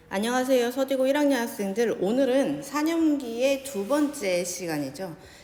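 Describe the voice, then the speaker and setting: With hardly any pauses, a woman speaks in a high pitch with lively intonation, with audible room echo and noticeable background noise. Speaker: high school science teacher. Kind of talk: lecture. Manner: slow.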